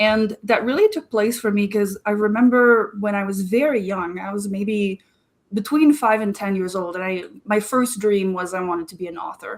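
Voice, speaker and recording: Ordinary pitch variation marks a woman speaking in a French Canadian accent. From Quebec, Canada. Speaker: marketing strategist. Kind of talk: interview.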